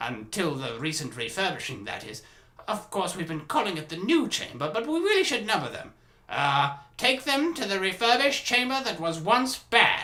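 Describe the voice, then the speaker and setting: Putting on a character voice, a man speaks high and projected at a moderate pace, with very wide pitch swings and big swings in loudness. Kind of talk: character voice impressions.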